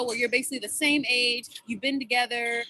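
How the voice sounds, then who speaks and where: A woman speaks in a raised, projected voice at a fairly quick pace, her tone bright and sharp. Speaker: student club presenter. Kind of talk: club presentation over video call. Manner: animated; loud.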